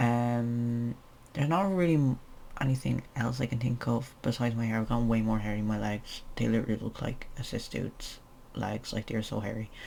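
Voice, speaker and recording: A man with an Irish accent, medium pitch, ordinary pitch variation and a fairly quick pace. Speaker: transgender vlogger. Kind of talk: casual vlog update. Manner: hesitant, many fillers.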